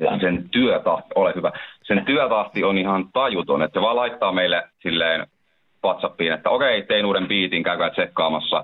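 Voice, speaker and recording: A man talks at a moderate pace. His loudness stays very even throughout. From Finland, Lempäälä (Pirkanmaa). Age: 20s. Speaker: rapper. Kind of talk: radio interview.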